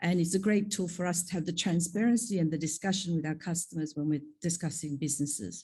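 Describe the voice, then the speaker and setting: A woman talks at a very fast pace with hardly any pauses, her voice somewhat breathy. Her tone is dark and mellow, fairly low in pitch, with ordinary pitch variation. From Australia (Sydney), moved from Korea at ten. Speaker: pharma executive, panel speaker. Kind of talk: conference panel talk.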